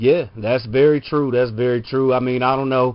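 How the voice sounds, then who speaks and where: This man has an ordinary speaking voice at a medium pitch. He speaks at a fairly quick pace. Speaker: podcast host. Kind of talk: casual podcast conversation.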